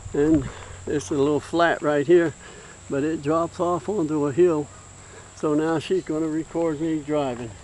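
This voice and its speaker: Long, frequent pauses mark the speech of a man with an Appalachian accent and a fairly high pitch. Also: fairly even intonation, moderate pace. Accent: Appalachian American. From West Virginia. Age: 70s. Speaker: retired hobbyist vlogger. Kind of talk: casual show-and-tell video. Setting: outdoors at home. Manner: rambling, halting with many fillers.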